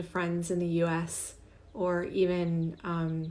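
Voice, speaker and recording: A woman's fairly low, dark, mellow voice with a slight Canadian accent, and audible room echo. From Canada. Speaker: podcast host, humorist. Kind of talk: casual podcast monologue.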